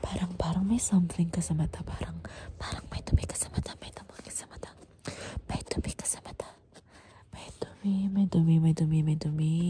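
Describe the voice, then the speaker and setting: Amid noticeable background noise, whispered speech moves at a fairly quick pace. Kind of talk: ASMR role-play, soft-spoken with repetitive triggers.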